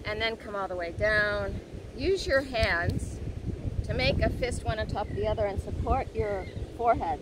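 Talking at a moderate pace, a woman comes through with dry sound and no echo. Noticeable background noise is present. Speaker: yoga instructor. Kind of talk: guided yoga class cueing poses and breaths step by step. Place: beach.

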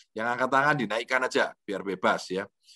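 The man's tone is bright and sharp. The sound is dry, with no echo. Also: quiet background. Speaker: lecturer, motivational speaker. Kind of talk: online lecture with Q&A. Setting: video call from home. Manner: relaxed, conversational. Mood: relaxed, jovial. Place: home room. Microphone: video call.

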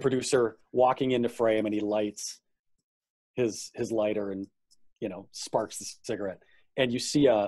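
A man's pitch varies in an ordinary way as he speaks at a moderate pace in a quiet setting. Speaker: guest. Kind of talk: interview answer. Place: home room. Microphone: video call.

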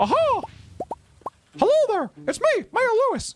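A put-on character voice, extremely high in pitch and at a moderate pace, with faint music in the background. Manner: cheerful, excited.

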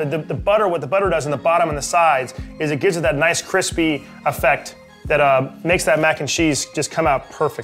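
A man speaks at a very fast pace with ordinary pitch variation. Faint music plays in the background. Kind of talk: casual cooking tutorial chat. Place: kitchen.

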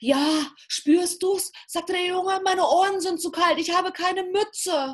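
Very slowly, a woman speaks against a quiet background. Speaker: storyteller. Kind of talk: fairy tale storytelling. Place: home room. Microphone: video call.

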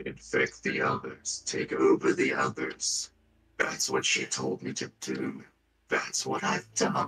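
A man does a put-on character voice, raspy and very deep in pitch. He speaks at a fairly slow pace. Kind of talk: horror villain acting. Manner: cold, menacing, cryptic.

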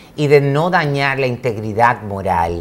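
This man speaks with a Dominican accent. His intonation is lively. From Dominican Republic, Santo Domingo. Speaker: modeling school director and pageant trainer. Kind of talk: interview. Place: studio. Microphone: lapel.

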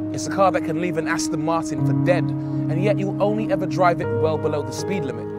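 A man's very fast, nearly pause-free speech, dry with no echo, over loud background music. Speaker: TV presenter. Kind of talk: TV car presenter showreel. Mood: upbeat, smiling. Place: forest.

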